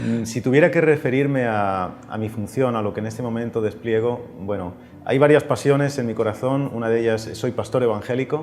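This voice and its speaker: Over noticeable background noise, a man with a Castilian accent speaks at a moderate pace and medium pitch, with ordinary pitch variation and hardly any pauses. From Spain, Madrid. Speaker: pastor and author. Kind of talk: interview.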